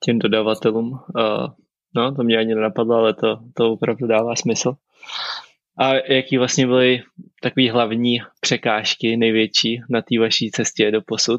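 A man's medium-pitched voice at a moderate pace, flat and monotone, with very even loudness. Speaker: pro cyclist, podcast host. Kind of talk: interview.

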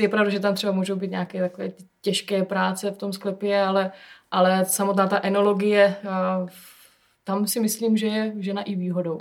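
A woman is speaking. She keeps a moderate pace. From South Moravia, Czech Republic (Hustopeče). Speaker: winemaker. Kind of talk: casual chat interview. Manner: hesitant with filler sounds.

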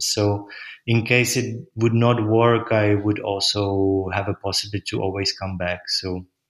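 A fairly low-pitched man at a fairly slow pace with monotone, flat intonation. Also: very clean recording, silent background. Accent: Czech. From Czech Republic. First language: Czech. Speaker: gallery owner. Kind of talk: interview. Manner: hesitant, many fillers.

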